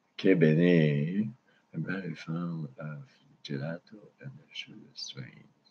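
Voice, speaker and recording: A man with a Quebec accent speaks at a very slow pace. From Quebec, Canada. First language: French. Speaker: cannabis livestreamer. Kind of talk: casual live stream chat. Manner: halting.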